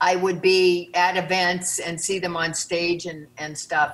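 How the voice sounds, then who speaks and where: A woman's fairly low voice at a fairly slow pace. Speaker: interviewee. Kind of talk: interview answer. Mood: warm, admiring. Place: home room. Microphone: webcam.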